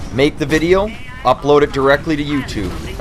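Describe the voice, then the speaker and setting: A man with a Canadian accent at a moderate pace, music in the background. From Canada. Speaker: gaming YouTuber. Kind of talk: Q&A video monologue. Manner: casual, with many fillers and repetitions.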